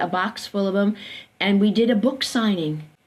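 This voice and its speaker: A somewhat breathy woman at a medium pitch and a fairly quick pace, on a very clean recording with a silent background. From US Northeast, Brooklyn, New York. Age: 70s. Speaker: occupational therapist. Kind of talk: interview conversation. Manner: halting, many fillers.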